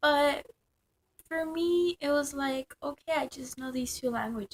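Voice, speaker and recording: With a Spanish accent, a woman speaks at a high pitch. Her pace is fairly slow, and her pitch varies in an ordinary way. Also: dry, close sound with no echo. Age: young. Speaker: vlogger. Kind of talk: casual vlog monologue. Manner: halting, many fillers.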